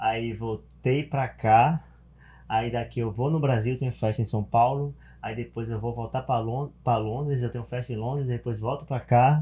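A somewhat breathy man with a dark, mellow tone and medium pitch talks at a moderate pace with fairly even intonation against a quiet background. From Bahia, Brazil (small interior town). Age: 30s. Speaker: event promoter. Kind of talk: casual chat.

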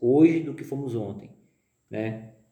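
A man with a dark, mellow tone speaks at medium pitch with ordinary variation. Audible room echo surrounds his voice. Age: 30s. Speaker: business executive. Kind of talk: interview. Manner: halting, many fillers.

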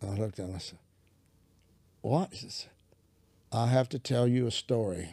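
A man's medium-pitched, somewhat breathy voice with a dark, mellow tone, ordinary pitch variation, big swings in loudness and a moderate pace broken by long, frequent pauses, on a very clean recording with a silent background. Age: 70s. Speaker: preacher. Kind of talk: casual chat.

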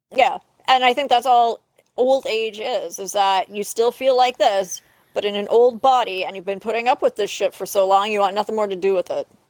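With a Canadian accent, a woman speaks at a fairly high pitch and a fairly quick pace, with ordinary pitch variation. She has an unremarkable speaking voice, and the sound is dry and close with no echo. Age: 30s. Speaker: podcast co-host. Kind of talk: casual chat.

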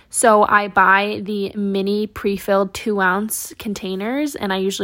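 A woman speaks at a medium pitch. Her tone is animated. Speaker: content creator. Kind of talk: casual solo podcast chat. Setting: home, recording at night in her room. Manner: fast talker; animated, chatty.

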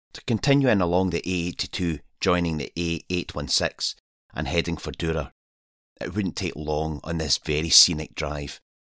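On a very clean recording with a silent background and a dry, close sound with no echo, a man in a Scottish accent speaks at a moderate pace, with a very deep, low pitch and ordinary pitch variation. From Scotland. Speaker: wild camper and podcaster. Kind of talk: scripted narration.

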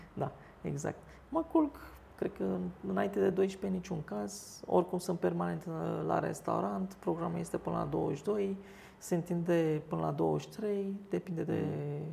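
Noticeable background noise sits under the recording. A woman speaks with a Turkish accent at a fairly slow pace. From Istanbul, Turkey; in Romania from age 11. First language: Turkish (speaking Romanian). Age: 40s. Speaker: restaurant owner. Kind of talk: interview.

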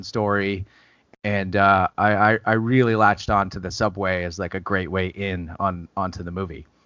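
Fairly low-pitched and fairly even in intonation, a man talks at a moderate pace in an unremarkable speaking voice. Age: 30s. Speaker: film writer and director. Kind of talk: casual interview.

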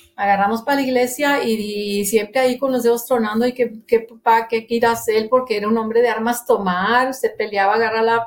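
A normal speaking voice from a woman at a fairly quick pace. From Monterrey, Nuevo León, Mexico. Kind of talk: testimony.

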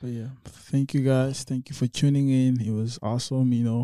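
In a dark, mellow tone, a man of medium pitch talks fairly quickly with monotone, flat intonation, in a dry, close sound with no echo on a very clean recording with a silent background. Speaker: podcast host. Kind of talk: casual chat. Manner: soft-spoken.

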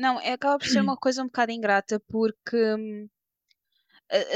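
A woman with a fairly high pitch speaks at a moderate pace in an unremarkable speaking voice, her intonation fairly even. The recording is very clean, with a silent background and a dry, close sound with no echo. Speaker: podcast interviewer. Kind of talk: casual interview.

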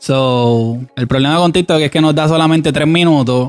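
This man's ordinary pitch variation accompanies a fairly quick pace. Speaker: podcast co-host. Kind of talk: casual chat.

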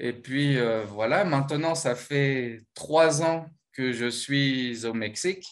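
A man's fairly high voice at a very slow pace, with ordinary pitch variation. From France, Normandy. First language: French (speaking Spanish). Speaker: former exchange intern. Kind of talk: interview. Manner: hesitant, many fillers.

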